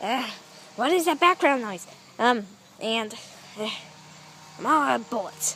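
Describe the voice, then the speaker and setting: A cartoonish character voice, female-sounding and fairly high, at a moderate pace with long, frequent pauses. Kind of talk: puppet show dialogue. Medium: puppet.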